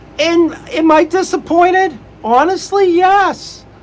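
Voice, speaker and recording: Noticeable background noise sits behind a man speaking in an animated tone. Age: old. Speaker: wrestling podcaster. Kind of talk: casual podcast commentary. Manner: halting with restarts.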